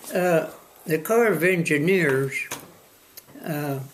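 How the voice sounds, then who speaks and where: A man's fairly high-pitched voice at a very slow pace, over noticeable background noise. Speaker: former newspaper publisher and land use administrator. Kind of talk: oral history interview answer. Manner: hesitant, halting.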